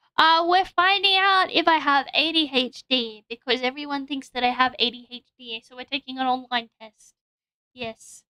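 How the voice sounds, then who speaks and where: In an Australian accent, a woman with a high, bright, sharp voice speaks at a moderate pace in a raised, projected voice, with big swings in loudness, ordinary pitch variation and a dry, close sound with no echo. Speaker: vtuber streamer. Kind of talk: casual livestream chat. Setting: livestream with drawing setup.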